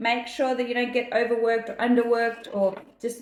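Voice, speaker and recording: With an Australian accent, a woman speaks at a fairly high pitch in an animated tone. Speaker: numerologist. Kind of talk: daily reading monologue.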